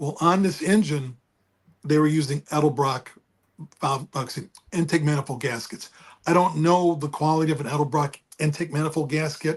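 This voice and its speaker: Speaking at a fairly quick pace, a man uses a fairly high pitch. His voice is somewhat breathy, with fairly even intonation. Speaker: car enthusiast. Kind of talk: casual chat.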